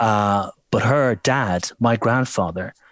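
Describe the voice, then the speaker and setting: A man with an Irish accent at a medium pitch, his intonation fairly even, in a very clean recording with a silent background and a dry, close sound with no echo. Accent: gentle Irish lilt. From Ireland. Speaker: voiceover artist. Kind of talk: interview. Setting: at home.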